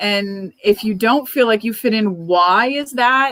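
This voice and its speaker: This woman has an unremarkable speaking voice with an American accent. Her pitch is fairly high and varies in an ordinary way. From Cuban American, from Miami. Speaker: author. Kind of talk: author discussion at a book club event. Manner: thoughtful, conversational.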